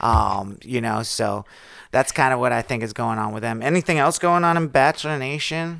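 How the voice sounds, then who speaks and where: Speaking with lively intonation, a man uses a normal speaking voice. The recording is very clean, with a silent background. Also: medium pitch for a man, moderate pace. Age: 30s. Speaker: podcast co-host. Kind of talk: casual chat.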